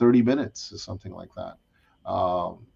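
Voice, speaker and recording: This man has a dark, mellow tone and ordinary pitch variation. He speaks at a moderate pace against a quiet background. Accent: strong New York. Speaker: discussion panel host. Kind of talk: casual chat.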